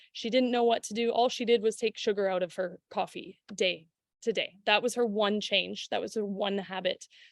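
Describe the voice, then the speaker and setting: Delivery proceeds at a moderate pace. Pitch movement remains fairly even. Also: woman, medium pitch for a woman. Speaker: fitness coach. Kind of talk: online workshop.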